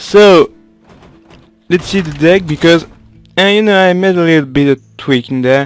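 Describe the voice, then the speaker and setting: A man's high voice with a French accent, at a moderate pace, with ordinary pitch variation, long and frequent pauses, and music in the background. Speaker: gaming video creator. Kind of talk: casual gameplay commentary.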